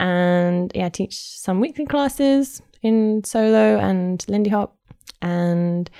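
The voice has a dark, mellow tone and speaks with a London accent. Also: woman. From London, England. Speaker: swing dancer and event organizer. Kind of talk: casual interview chat. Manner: laughs often, chatty.

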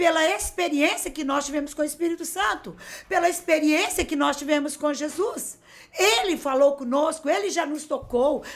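A woman speaks in an animated tone at a high pitch. Her pitch variation is ordinary. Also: moderate pace. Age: 50s. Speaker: bishop. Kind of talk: preaching on a live podcast. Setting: studio live stream.

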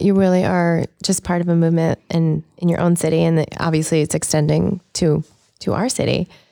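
A woman's fairly low voice has a dark, mellow tone and a dry, close sound with no echo. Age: 30s. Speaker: podcast co-host. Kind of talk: interview.

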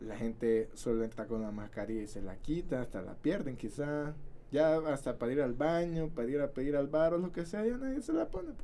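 A man with a Salvadoran accent talks at a fairly quick clip in a fairly high pitch. His tone is dark and mellow, and his intonation is lively. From El Salvador, San Miguel. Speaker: podcast co-host. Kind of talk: casual chat. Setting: studio.

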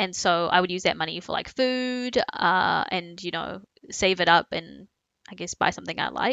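An ordinary speaking voice from a woman, fairly low in pitch, with ordinary pitch variation at a moderate pace. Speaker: podcast co-host. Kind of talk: casual chat.

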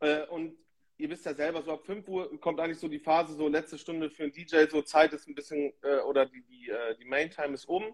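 A man with a fairly high pitch speaks in a flat monotone at a fairly quick pace, his loudness swinging widely. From northern Germany, Emsland (Lower Saxony) near Dutch border. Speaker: DJ. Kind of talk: casual chat.

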